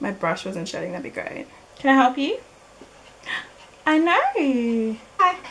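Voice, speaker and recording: A woman with an Australian accent speaks in a high pitch at a fairly slow pace, with very wide pitch swings, big swings in loudness, and long, frequent pauses, over noticeable background noise. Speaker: beauty vlogger. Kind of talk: casual talk to camera. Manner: stuttering, hesitant.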